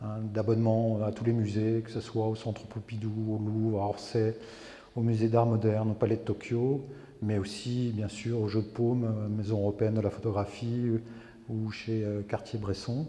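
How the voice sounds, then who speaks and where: At a moderate pace, a man delivers his words in a flat, monotone way, his tone dark and mellow and somewhat breathy. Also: medium pitch for a man. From France, rural farming background. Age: 60s. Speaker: photographer, retired army officer. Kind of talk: interview. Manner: hesitant, many fillers.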